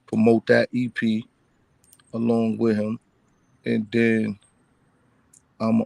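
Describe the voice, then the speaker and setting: A man speaks with a Bronx accent. The sound is dry and close, with no echo. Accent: New York, Bronx. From Bronx, New York. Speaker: rap artist. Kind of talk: casual interview.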